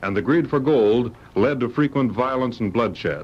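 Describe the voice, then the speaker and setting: Using a normal speaking voice, a man at medium pitch talks at a fairly quick pace with lively intonation. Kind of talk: old-time radio adventure announcer. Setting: vintage radio broadcast.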